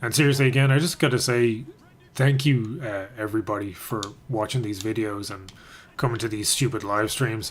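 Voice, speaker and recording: A man speaks at a moderate pace, medium in pitch with ordinary pitch variation. His voice is somewhat breathy. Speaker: gaming and MMA streamer. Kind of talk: live stream chat while gaming. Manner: soft-spoken, near whisper.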